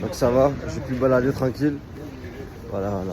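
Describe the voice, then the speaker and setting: Amid noticeable background noise, a man talks at a moderate pace in a medium pitch with ordinary pitch variation. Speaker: travel vlogger. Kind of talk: casual vlog narration. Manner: halting, many repetitions.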